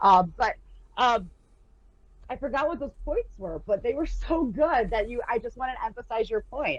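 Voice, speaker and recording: Intonation here is lively. The pace stays moderate. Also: woman, high pitch for a woman. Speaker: poet and teacher. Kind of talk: casual chat. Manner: gets loud when excited.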